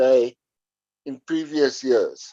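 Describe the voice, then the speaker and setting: Dry and close with no echo, a man's dark, mellow voice comes through with a South African accent. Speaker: podcast guest. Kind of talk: casual chat. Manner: halting.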